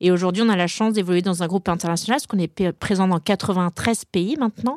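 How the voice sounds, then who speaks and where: A woman with an unremarkable speaking voice speaks at medium pitch with fairly even intonation, in a dry, close sound with no echo on a very clean recording with a silent background. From Brittany, France. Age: 40s. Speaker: HR director. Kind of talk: interview.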